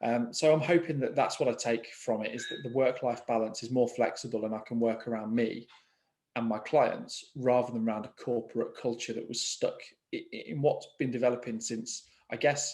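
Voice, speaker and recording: A man with an English Midlands accent, at a moderate pace and with fairly even intonation. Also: medium pitch for a man. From England, East Midlands (Market Harborough). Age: 30s. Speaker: mortgage broker. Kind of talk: interview conversation. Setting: video call. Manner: hesitant, with frequent fillers and repetitions.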